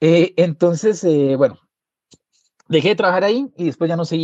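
With a dark, mellow tone and fairly high pitch, a man speaks at a moderate pace in a dry, close sound with no echo. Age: 30s. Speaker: musician and journalist. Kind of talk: interview storytelling. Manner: halting, many repetitions and fillers.

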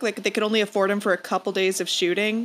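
A woman speaks in a normal speaking voice, fairly high for a woman and at a fairly quick pace. The recording is very clean, with a silent background. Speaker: guest on comedy book-review podcast. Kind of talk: casual comedic chat.

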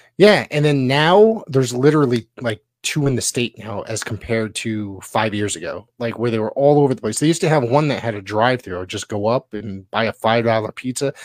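In a normal speaking voice with an American accent, a man talks at a fairly quick pace with hardly any pauses, a medium pitch and ordinary pitch variation, the sound dry and close with no echo. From Connecticut, US. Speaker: wrestling podcast co-host and play-by-play announcer. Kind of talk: casual chat.

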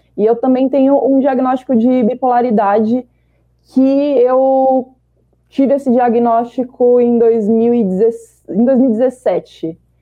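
A woman's high-pitched voice at a very slow pace, its loudness very even. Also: fairly even intonation. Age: 30s. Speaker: marketing professional. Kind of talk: panel discussion. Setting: video call.

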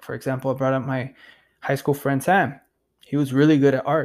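A man talks at a moderate pace with a fairly high pitch. The recording is very clean with a silent background. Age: 30s. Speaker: podcaster. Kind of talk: casual monologue. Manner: animated.

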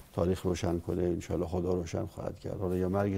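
This man's dark, mellow tone carries vocal fry as he speaks at a very fast pace. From Iran, Dezful (Khuzestan). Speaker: former political adviser, university professor. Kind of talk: interview.

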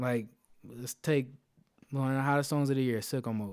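On a very clean recording with a silent background, a man speaks at medium pitch in an ordinary speaking voice, fairly quickly and with fairly even intonation. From Philadelphia, US. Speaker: DJ and IT project manager. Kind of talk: interview.

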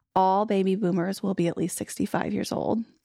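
Recorded very cleanly against a silent background, a woman speaks in an unremarkable speaking voice at a medium pitch, with ordinary pitch variation. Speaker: podcast co-host, marketing manager. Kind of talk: casual interview with scripted intro.

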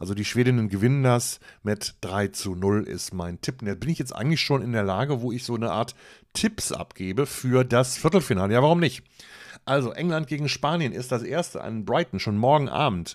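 In a very clean recording with a silent background, a man with a normal speaking voice and a medium pitch talks at a moderate pace with lively intonation. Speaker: football podcaster. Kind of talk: solo podcast commentary. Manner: casual, chatty.

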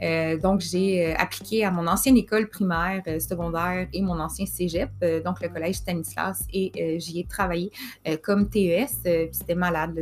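In a Quebec accent, a woman speaks at a fairly slow pace. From Quebec, Montreal. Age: 30s. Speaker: podcast host, mental health worker. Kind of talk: personal storytelling monologue.

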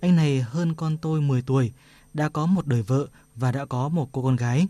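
Over a quiet background, a man with a dark, mellow tone speaks at a fairly slow pace, his pitch variation ordinary.

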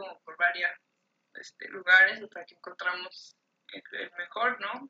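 A woman with a normal speaking voice talks at a fairly slow pace and medium pitch, in a dry, close sound with no echo. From Mexico. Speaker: artist. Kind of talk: casual chat.

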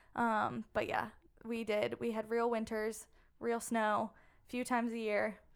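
A woman speaks fairly slowly with an American accent and a fairly high pitch. Her intonation is monotone and flat. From southern Maryland. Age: 20s. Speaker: former college soccer player and CrossFit athlete. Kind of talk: interview. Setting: studio.

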